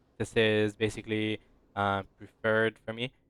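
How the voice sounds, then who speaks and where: A man with a medium-pitched voice speaks in a flat monotone. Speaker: video game guide creator. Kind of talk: tutorial. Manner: fast; casual, filler-heavy.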